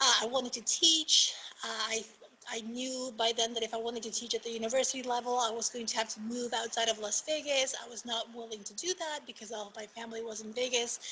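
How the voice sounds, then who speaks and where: Speaking very fast with a Spanish accent, a woman uses a fairly high pitch and fairly even intonation, her loudness swinging widely over noticeable background noise. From Argentina. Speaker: magistrate judge. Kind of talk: panel talk.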